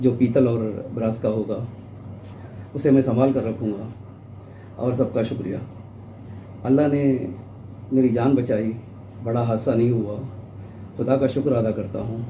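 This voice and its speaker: Amid audible room echo, a man speaks at a medium pitch in a monotone with flat intonation, taking long, frequent pauses. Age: 60s. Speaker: elderly marathon participant, vlogger. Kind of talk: personal account to camera.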